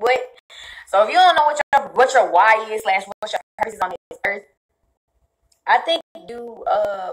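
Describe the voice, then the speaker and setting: A woman speaks with a fairly high pitch, an animated tone and lively intonation at a moderate pace, pausing long and often. Her loudness swings widely, and the sound is dry and close with no echo. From US South. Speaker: fitness influencer. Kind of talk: livestream chat. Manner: casual.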